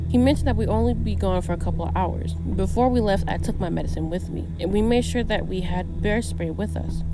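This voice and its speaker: Music in the background behind a woman's very deep, low voice, monotone and flat, at a fairly quick pace with hardly any pauses. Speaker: horror story narrator. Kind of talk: horror story narration.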